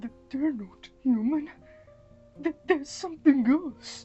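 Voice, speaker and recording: Faint music plays in the background as a woman uses a put-on character voice at a fairly slow pace. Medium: read story. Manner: soft, hesitant, stammering.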